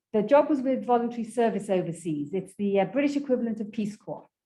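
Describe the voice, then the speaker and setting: A woman speaks with an English accent and lively intonation. Her tone is dark and mellow. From England. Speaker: graduate student presenter. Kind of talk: informal presentation. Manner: conversational, with fillers.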